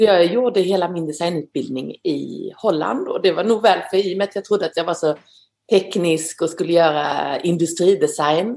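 Speaking at a moderate pace, a woman uses an ordinary speaking voice, fairly low in pitch with ordinary pitch variation. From Sweden, northeastern Skåne. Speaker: glove designer. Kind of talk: interview.

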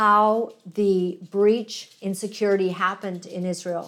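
A woman with a Canadian accent on a very clean recording with a silent background. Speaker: online show host. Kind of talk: casual commentary with guest interview. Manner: chatty, frequent fillers.

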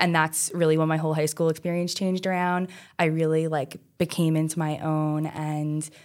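Fairly quick and fairly even in intonation, the speech comes in an American accent on a very clean recording with a silent background. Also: woman. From Staten Island, New York (South Shore). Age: 20s. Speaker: medical student. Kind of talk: casual interview.

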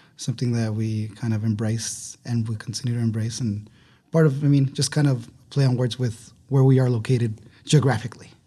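A man with a dark, mellow tone and a medium pitch talks at a fairly quick pace, somewhat breathy, with fairly even intonation over a quiet background. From Ciudad Juarez, Mexico / El Paso border. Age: 30s. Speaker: restaurant co-owner. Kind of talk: interview conversation. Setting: studio.

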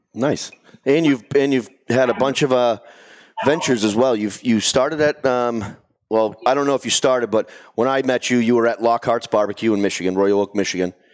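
Here a man speaks with a Boston accent at a medium pitch and a fairly quick pace. His loudness stays very even and his pitch varies in an ordinary way. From Boston area. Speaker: podcast host. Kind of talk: casual chat. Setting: studio with live audience.

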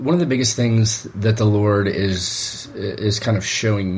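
Against noticeable background noise, a man with a fairly low pitch speaks very slowly with fairly even intonation. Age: 40s. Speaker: pastor. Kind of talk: casual chat.

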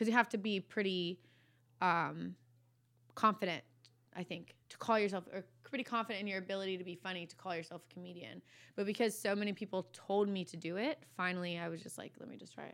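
In an American accent, a woman talks very fast at a medium pitch, with ordinary pitch variation and big swings in loudness, on a very clean recording with a silent background. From Virginia, US. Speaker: comedian and content creator. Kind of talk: casual chat. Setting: podcast studio.

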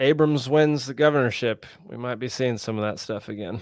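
A normal speaking voice with an American accent, a moderate pace and fairly even intonation. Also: man. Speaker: podcast host. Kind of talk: casual interview.

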